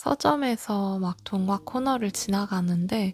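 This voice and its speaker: A woman's somewhat breathy, dark and mellow voice at medium pitch, with a calm tone, ordinary pitch variation, a very slow pace and a dry, close sound with no echo. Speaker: audiobook narrator. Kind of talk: book introduction and read-aloud. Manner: calm, soft-spoken.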